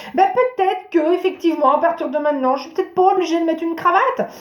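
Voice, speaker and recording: With an animated tone, a woman is speaking. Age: 40s. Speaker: therapist and wellbeing vlogger. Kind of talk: improvised talk to camera.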